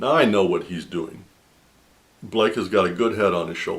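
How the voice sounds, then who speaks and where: A man talks at a moderate pace in a fairly low pitch. He has an unremarkable speaking voice with ordinary pitch variation. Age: 60s. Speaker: video blogger sharing faith testimony. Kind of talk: personal testimony monologue.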